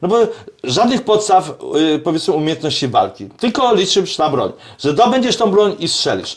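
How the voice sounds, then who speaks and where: With an animated tone and high pitch, a man talks at a moderate pace with lively intonation. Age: 60s. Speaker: self-defence and shooting instructor. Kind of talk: casual chat. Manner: halting.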